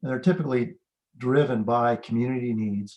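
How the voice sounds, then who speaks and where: A man's unremarkable speaking voice at a medium pitch, moderate pace and ordinary pitch variation. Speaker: plant ecologist. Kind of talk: lecture.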